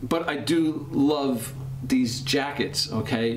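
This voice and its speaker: There is noticeable background noise behind this man. His pitch varies in an ordinary way. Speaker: jacket reviewer. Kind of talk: casual commentary. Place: studio.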